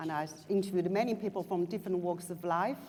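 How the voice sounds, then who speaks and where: A woman's fairly low voice with ordinary pitch variation, in a Chinese accent. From China. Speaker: writer and journalist. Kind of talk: panel discussion. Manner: halting, many fillers and restarts.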